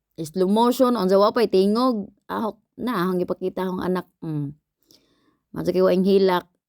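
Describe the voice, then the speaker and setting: A voice with a Philippine accent moves at a moderate pace with ordinary pitch variation in a dry, close sound with no echo. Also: woman, medium pitch for a woman. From Philippines, Visayas. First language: Cebuano (speaking Tagalog). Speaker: vlogger. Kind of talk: cooking vlog voice-over. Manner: casual, halting.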